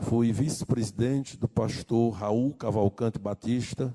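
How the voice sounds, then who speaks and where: Dark, mellow tone at a very slow pace with fairly even intonation. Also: man. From Brazil, rural Maranhão. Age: 60s. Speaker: pastor. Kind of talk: sermon.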